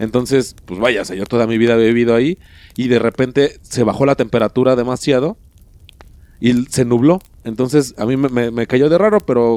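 A man's voice, medium in pitch, carries a dark, mellow tone. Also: dry, close sound with no echo. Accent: Mexican. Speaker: podcast co-host. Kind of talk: casual chat. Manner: halting, repeats words.

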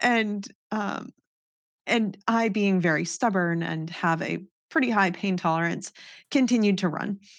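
A woman with an American accent, medium pitch, ordinary pitch variation and long, frequent pauses, against a quiet background. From US Northeast, New Hampshire. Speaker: professional mountain biker. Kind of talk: casual interview chat.

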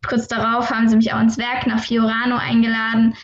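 A woman with a fairly high pitch talks in a monotone, flat intonation. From Saarland, Germany. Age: 20s. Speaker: racing driver. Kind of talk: interview.

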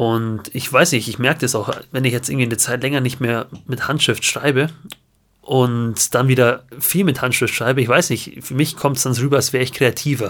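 A man talks in a plain, everyday voice, pitched in the middle range, with fairly level intonation at a medium speed. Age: 20s. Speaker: podcast co-host, guitarist. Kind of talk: casual chat. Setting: at home, remote recording.

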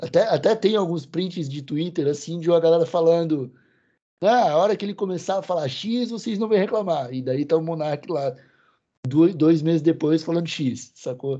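A man speaks with a high pitch and a dark, mellow tone, his pitch rising and falling in an ordinary way. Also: moderate pace. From southern Brazil. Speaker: cannabis content creator. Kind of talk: casual interview chat.

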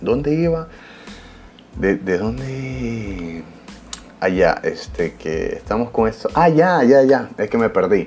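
Noticeable background noise sits under a man speaking at a very slow pace, with long, frequent pauses. His pitch is medium, but it swings very widely. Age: 20s. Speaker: podcast host. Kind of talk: casual solo podcast monologue. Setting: studio. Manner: animated.

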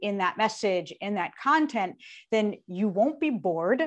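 A woman with a normal speaking voice and a fairly high pitch talks at a fairly slow pace. The background stays quiet. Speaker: public speaking coach and singer-songwriter. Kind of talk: interview.

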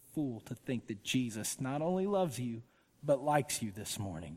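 A male voice with a Georgia accent, medium in pitch, at a moderate pace. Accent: Southern American (Georgia). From US South, Georgia (Woodstock). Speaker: pastor, author. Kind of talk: sermon. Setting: church with congregation. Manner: casual, conversational with fillers.

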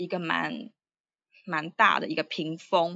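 With a Taiwanese accent, a woman speaks at a fairly low pitch. Her pace is fairly slow. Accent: Taiwanese Mandarin. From Taiwan, Taipei. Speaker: writer and Chinese teacher. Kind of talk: casual interview. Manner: hesitant with many fillers.

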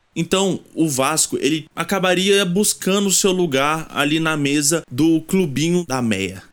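A man with an unremarkable speaking voice talks at a fairly high pitch and fairly slow pace, with ordinary pitch variation and hardly any pauses. His loudness stays very even in a very clean recording with a silent background. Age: 20s. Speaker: university student podcast host. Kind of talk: scripted narration.

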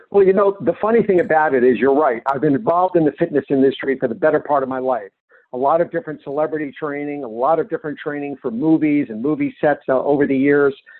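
This man has a fairly high pitch with ordinary variation and a plain, everyday voice. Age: 50s. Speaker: wellness author and fitness consultant. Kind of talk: interview.

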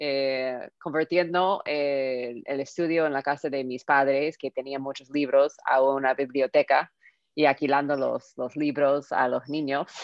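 With an American accent, a woman speaks at a very deep, low pitch in a monotone, flat intonation. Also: fairly slow pace. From Southern California, US. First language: English (speaking Spanish). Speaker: tech entrepreneur. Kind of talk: interview. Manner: halting, many fillers.

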